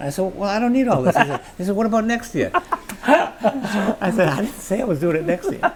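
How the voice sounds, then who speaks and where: A man with a high pitch, very wide pitch swings and a fairly quick pace, with hardly any pauses, over noticeable background noise. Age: 80s+. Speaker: doctor and charity cyclist. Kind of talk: interview. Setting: on location at food pantry.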